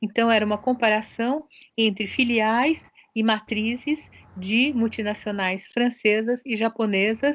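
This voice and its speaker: Against a quiet background, a woman with a fairly high pitch speaks with fairly even intonation and very even loudness. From Brazil, São Paulo (born in Japan). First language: Japanese (speaking Portuguese). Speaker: sociologist and researcher. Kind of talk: interview. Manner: hesitant, with fillers.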